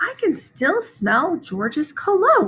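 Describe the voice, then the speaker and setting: In a put-on character voice, a woman speaks fairly slowly, squeaky and extremely high-pitched, with very wide pitch swings. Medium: read story. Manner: prim, matter-of-fact.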